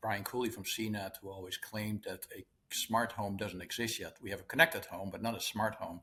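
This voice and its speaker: In a strong Dutch accent, a man with a fairly low pitch and bright, sharp tone speaks at a moderate pace with fairly even intonation. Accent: thick Dutch. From Netherlands. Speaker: interviewer, co-editor. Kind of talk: interview conversation.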